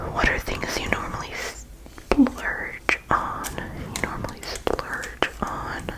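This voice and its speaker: A soft-spoken woman's whispering at a very slow pace. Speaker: hobby creator. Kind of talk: casual vlog chat. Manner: soft ASMR whisper reading a question. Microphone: phone near.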